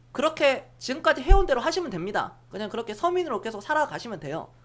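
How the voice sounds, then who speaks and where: Her voice high in pitch, a woman speaks with an animated tone and very wide pitch swings. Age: 30s. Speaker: stock market livestream host. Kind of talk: live-streamed investment talk to viewers. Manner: blunt, animated.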